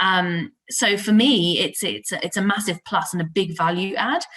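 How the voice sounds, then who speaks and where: Noticeable background noise accompanies a woman whose medium pitch shows ordinary variation. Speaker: IT talent acquisition consultant. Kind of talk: podcast interview. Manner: loud; animated.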